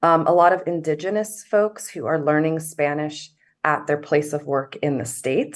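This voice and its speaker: An American accent at a moderate pace, hardly any pauses, and ordinary pitch variation. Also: woman. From US South. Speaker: journalist. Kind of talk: panel discussion. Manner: halting, many filler words.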